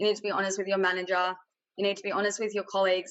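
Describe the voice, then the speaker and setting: A woman with an Australian accent speaks with monotone, flat intonation. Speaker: tech industry panelist. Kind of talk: panel discussion. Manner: loud.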